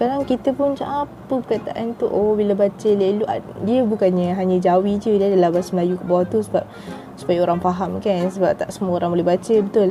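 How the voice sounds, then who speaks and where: Over noticeable background noise, a woman talks at a very fast pace with very even loudness. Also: medium pitch for a woman, ordinary pitch variation. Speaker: YouTuber teaching Malay dialect. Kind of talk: casual talk to camera.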